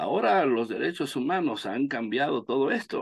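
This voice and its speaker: Male speech with very wide pitch swings and a dry, close sound free of echo. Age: 60s. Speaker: law professor. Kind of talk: lecture. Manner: halting.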